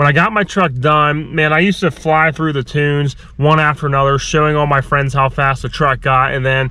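With a bright, sharp tone, a man speaks at a fairly quick pace with hardly any pauses, in a dry sound with no echo. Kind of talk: casual vlog chat. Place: car. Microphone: phone near.

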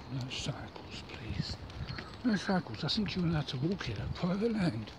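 The sound is dry, with no echo, and there is noticeable background noise. A man is talking. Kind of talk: casual vlog chat. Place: forest. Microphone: phone near.

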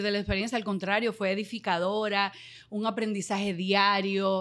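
The speaker is a woman at a moderate pace. Little else sounds in the quiet background. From Dominican Republic. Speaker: radio and TV presenter; radio, TV presenter. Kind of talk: casual interview. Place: studio. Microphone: studio mic.

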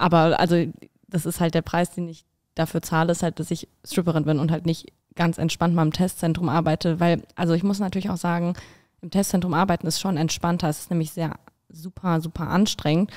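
Against a quiet background, a woman with a fairly low voice speaks in a flat monotone. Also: fairly quick pace. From Berlin. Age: 20s. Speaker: student and stripper. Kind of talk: casual interview. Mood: open, relaxed, sometimes laughing. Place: studio. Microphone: studio mic.

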